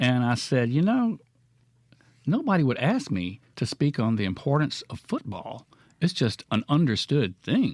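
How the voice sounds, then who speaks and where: A man's fairly high voice with a Mississippi accent and very wide pitch swings, in a very clean recording with a silent background. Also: fairly slow pace. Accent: US Southern (Mississippi). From Mississippi (Florence and Clinton). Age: 60s. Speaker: painter. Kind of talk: casual chat. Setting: studio.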